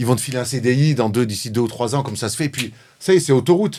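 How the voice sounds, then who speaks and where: A man speaks at a very fast pace, his medium pitch showing ordinary variation. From Marseille, southern France. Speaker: former basketball player turned sports journalist. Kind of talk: interview. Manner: outspoken, direct.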